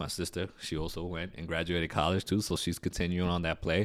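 Very fast and very deep, a man with an American accent talks on a very clean recording with a silent background. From New York City, Queens. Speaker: real estate investor. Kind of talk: interview. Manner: animated.

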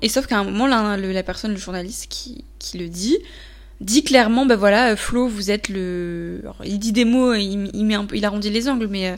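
A fairly slow pace with big swings in loudness and ordinary pitch variation. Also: woman. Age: 20s. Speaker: podcaster. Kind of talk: solo monologue. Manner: hesitant, many fillers.

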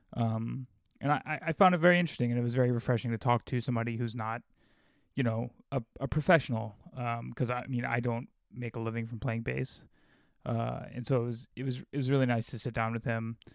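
Here a man has an unremarkable speaking voice, medium in pitch, with fairly even intonation. He talks fairly quickly, and the sound is dry and close with no echo. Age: 30s. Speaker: podcast host and bass player. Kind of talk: casual interview.

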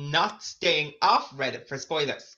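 A man speaks with an Irish accent in a bright, sharp tone. The background is quiet. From Ireland, County Meath. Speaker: podcast co-host, hotel receptionist. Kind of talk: casual chat.

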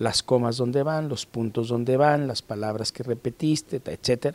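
A man talks in a normal speaking voice at medium pitch and a moderate pace. His intonation stays fairly even, and the sound is dry and close with no echo. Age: 50s. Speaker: judge and novelist. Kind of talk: interview.

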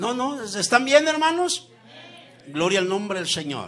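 Pitched high and swinging very widely, a man projects a raised voice at a fairly slow pace. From Mexico, Zacatecas. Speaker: guest preacher. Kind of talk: sermon. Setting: church with congregation.

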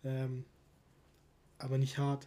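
A man's dark, mellow, somewhat breathy voice. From Stuttgart, Germany. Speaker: football podcast host. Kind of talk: casual chat.

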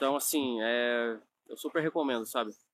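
A man's voice is heard. The pitch variation is ordinary. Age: 20s. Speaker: nutrition coach and online course creator. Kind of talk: online course lesson, personal story. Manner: casual with many fillers.

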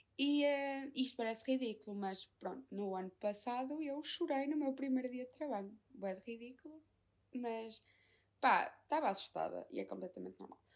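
Here a woman talks at a high pitch. Her pace is moderate, with ordinary pitch variation. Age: 20s. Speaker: podcaster. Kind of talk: casual monologue.

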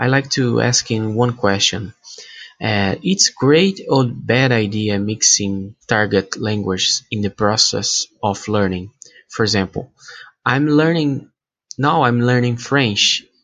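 Very slow pace with ordinary pitch variation. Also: man, medium pitch for a man. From Brazil. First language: Portuguese. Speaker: language learner. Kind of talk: recorded listener question. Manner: halting.

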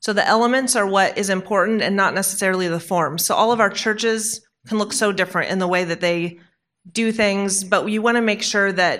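In a very clean recording with a silent background, a woman with an unremarkable speaking voice talks at a moderate pace, her medium pitch held in fairly even intonation. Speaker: panel moderator. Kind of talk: panel discussion. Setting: conference stage with audience.

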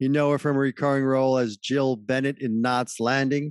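A man with a plain, everyday voice speaks at a medium pitch and a moderate pace. The sound is dry and close with no echo, over a quiet background. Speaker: podcast host. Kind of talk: interview.

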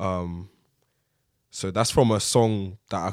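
A man with a South London accent speaks fairly slowly in a fairly low pitch with fairly even intonation, on a very clean recording with a silent background. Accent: South London (multicultural London English). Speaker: rapper and producer. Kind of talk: casual interview chat.

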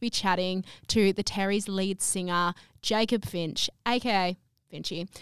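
On a very clean recording with nothing audible behind her, a woman in an Australian accent shows normal pitch movement. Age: 20s. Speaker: podcast host. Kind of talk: casual chat.

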